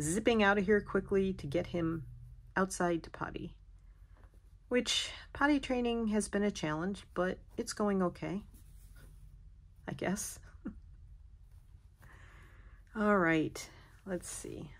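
A woman talks at a very slow pace with long, frequent pauses and ordinary pitch variation. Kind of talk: casual vlog chat. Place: home room. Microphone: phone near.

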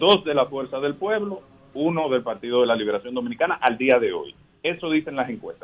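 Speaking at a fairly quick pace, a man uses an ordinary speaking voice with fairly high pitch and lively intonation. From Dominican Republic. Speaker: politician, congressional candidate; politician, candidate. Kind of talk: radio interview by phone. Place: studio.

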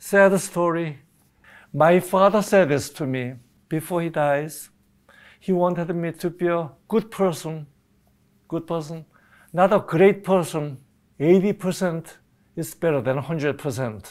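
Against a quiet background, a man with a Korean accent speaks at a high pitch and a very slow pace, with ordinary pitch variation and long, frequent pauses. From South Korea. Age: 80s+. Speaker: retiree sharing family history; interviewee. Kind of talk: personal testimony interview. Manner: halting, frequent uh fillers. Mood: reflective, warm. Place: studio. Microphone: lapel.

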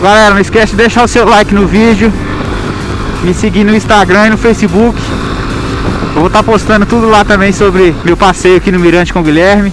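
Speech moves at a fairly quick pace. The sound is dry with no echo, and noticeable background noise is present. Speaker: motovlogger. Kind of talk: casual vlog chat. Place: motorbike.

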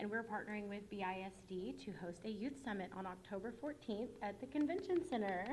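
A woman talks at a fairly quick pace with hardly any pauses, her medium-pitched voice somewhat breathy against audible room echo. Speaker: nonprofit communications manager. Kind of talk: public presentation at board meeting. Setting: school board meeting with audience. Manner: fast.

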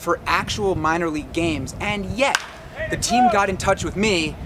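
A man with a high-pitched voice talks at a moderate pace. Background noise is noticeable. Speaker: sports vlogger. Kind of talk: casual vlog chat. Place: stadium. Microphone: camera far.

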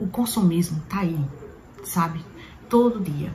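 Light background noise sits behind a woman with a fairly low pitch who speaks at a moderate pace. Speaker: perfume vlogger. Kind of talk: casual vlog chat. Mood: reflective, earnest advice. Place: home room. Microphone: phone near.

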